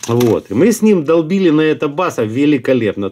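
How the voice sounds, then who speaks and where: Lively in intonation, a man with a fairly high pitch speaks at a moderate pace. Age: middle-aged. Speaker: fishing video blogger; angler reviewing lures. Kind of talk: product review; casual product review. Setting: at home desk. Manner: casual, halting with fillers. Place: home room. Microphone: phone near.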